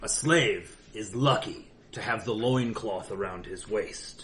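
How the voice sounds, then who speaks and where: Using a put-on character voice at a medium pitch, a man talks at a fairly slow pace with big swings in loudness and an audible echo. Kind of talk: in-character roleplay speech. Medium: actual play. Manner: stern, formal.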